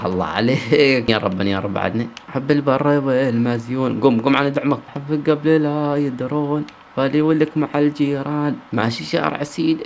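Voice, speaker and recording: The voice sounds animated, moving at a moderate pace with ordinary pitch variation and hardly any pauses over noticeable background noise. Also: man, fairly high pitch for a man. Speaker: gaming streamer. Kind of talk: gameplay commentary.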